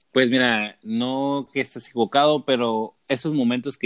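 A man with a normal speaking voice at a medium pitch and a fairly slow pace, in a dry, close sound with no echo on a very clean recording with a silent background. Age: 20s. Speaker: seminarian. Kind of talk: religious discussion.

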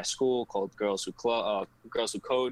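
He has a plain, everyday voice. This man keeps a moderate pace and fairly even intonation. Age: 20s. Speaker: college student. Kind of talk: casual chat.

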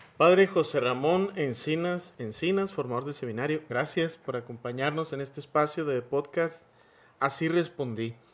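With a normal speaking voice, a man talks at a moderate pace in a fairly high pitch with ordinary pitch variation. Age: 40s. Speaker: priest and podcast host. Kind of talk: interview.

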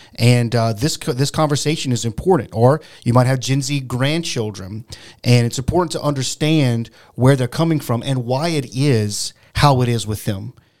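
At a moderate pace, a man with an ordinary speaking voice talks at a medium pitch with ordinary pitch variation. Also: very clean recording, silent background. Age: 40s. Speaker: podcast co-host. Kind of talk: casual chat.

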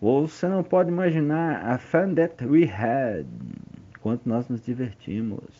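Using lively intonation, a man speaks at a fairly slow pace. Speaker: music industry executive telling memoirs. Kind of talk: memoir narration.

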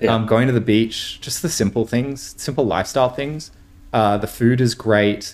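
A man speaks at a moderate pace with an Australian accent, his pitch medium and its variation ordinary. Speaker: tech startup co-founder. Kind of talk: casual interview.

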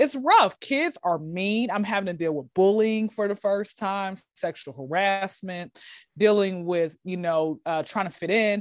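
In a Southern US accent, a woman talks at a fairly slow pace with a medium pitch, ordinary pitch variation and an animated tone, on a very clean recording with a silent background. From US South. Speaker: comedian. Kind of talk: casual chat.

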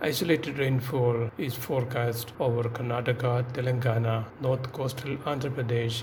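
A man talks in a flat monotone at a medium pitch and moderate pace, while noticeable noise runs in the background. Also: hardly any pauses.

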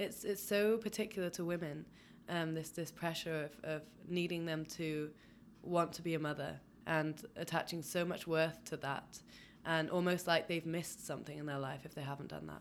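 A moderate pace with fairly even intonation. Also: woman, fairly low pitch for a woman. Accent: English. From England. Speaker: podcast co-host. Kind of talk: casual chat.

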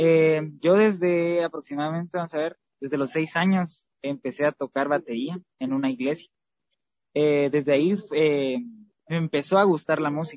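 A man's fairly high voice, an ordinary speaking voice, at a moderate pace with ordinary pitch variation. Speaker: singer in a vocal trio. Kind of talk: interview.

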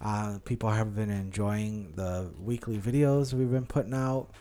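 A man talks at a fairly slow pace in a fairly low pitch. His pitch varies in an ordinary way. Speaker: podcast co-host. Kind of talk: casual chat. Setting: home dining room.

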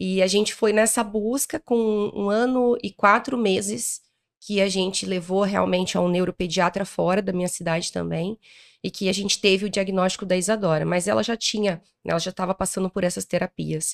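An unremarkable speaking voice moves at a moderate pace with fairly even intonation, recorded with a dry, close sound and no echo. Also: woman, medium pitch for a woman. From interior of Paraná, Brazil. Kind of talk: interview. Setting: event recording in Rio de Janeiro.

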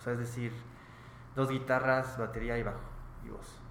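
A man speaks at a medium pitch with a Mexican accent. There is audible room echo and noticeable background noise. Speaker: rock band member. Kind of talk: casual interview.

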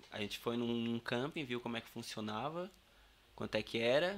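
A man has an ordinary speaking voice at a medium pitch. He moves at a fairly quick pace with ordinary pitch variation. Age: 30s. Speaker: carpenter and campervan builder. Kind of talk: casual interview.

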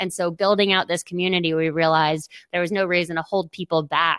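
With a plain, everyday voice, a woman talks at a fairly quick pace and a fairly low pitch on a very clean recording with a silent background. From Boston. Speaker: tech startup co-founder. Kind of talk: interview.

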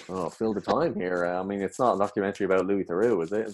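With an Irish accent, a man speaks very fast at a fairly low pitch with ordinary pitch variation, in a dry, close sound with no echo. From Ireland. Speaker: comedian and actor. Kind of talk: casual chat.

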